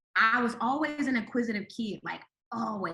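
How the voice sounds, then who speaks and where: Delivered fairly quickly, the speech carries ordinary pitch variation. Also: woman. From Chicago South Side. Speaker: comedian. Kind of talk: casual chat.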